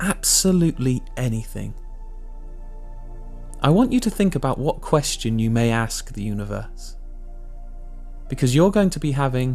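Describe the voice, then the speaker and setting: A calm tone in an English accent at a fairly slow pace, with music in the background. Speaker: meditation guide. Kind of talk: guided meditation. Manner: calm, slow.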